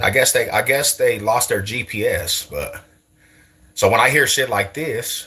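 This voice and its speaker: An animated man with an American accent talks at a moderate pace. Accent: sounds Californian to viewers. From US West, East Side Denver. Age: 40s. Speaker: streamer. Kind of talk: casual chat.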